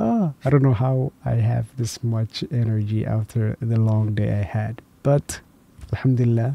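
Soft-spoken and somewhat breathy, a man talks at a fairly slow pace and medium pitch with fairly even intonation and a dark, mellow tone, the sound dry with no echo. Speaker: reaction youtuber. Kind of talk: casual chat. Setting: home at night. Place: home room. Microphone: studio mic.

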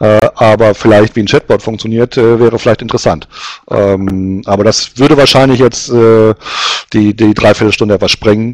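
The background is quiet and the sound is dry with no echo. A man talks at a moderate pace with very even loudness and fairly even intonation. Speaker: webinar host presenting recruiting survey results. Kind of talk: webinar presentation. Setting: online webinar. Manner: hesitant, many filler sounds.

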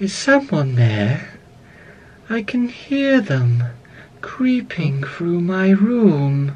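A soft-spoken, put-on character voice at a middle pitch moves at a very slow pace with very wide pitch swings. Long, frequent pauses break up the delivery. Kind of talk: acted character line. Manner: soft, creeping, fearful.

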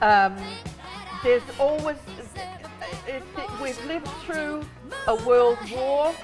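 Over clear background music, a woman speaks very slowly in a high voice with lively intonation and long, frequent pauses. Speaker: performer. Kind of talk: interview answer. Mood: emotional, earnest encouragement. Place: studio.

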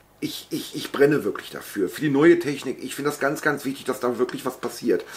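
Lively intonation shapes the man's speech.

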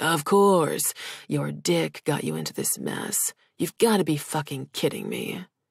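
A growling, put-on character voice moves at a moderate pace in a very clean recording with a silent background. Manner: snarling.

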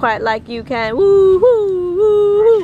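Over noticeable background noise, the speaker moves at a fairly slow pace with very wide pitch swings. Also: woman. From Peru. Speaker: vlogger. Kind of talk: casual chat. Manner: animated.

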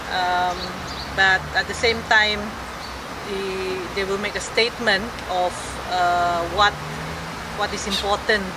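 Through loud background noise, a woman speaks at a fairly slow pace in a dry sound with no echo. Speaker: committee spokesperson. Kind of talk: press statement. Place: open country. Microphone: camera far.

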